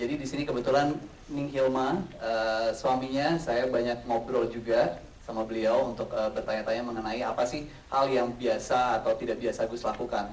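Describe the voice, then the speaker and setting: A man talks at a moderate pace with a slight Javanese accent and fairly even intonation. Noticeable background noise and audible room echo are present. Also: medium pitch for a man. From Central Java. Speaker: actor. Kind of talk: press conference Q&A. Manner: hesitant, many fillers.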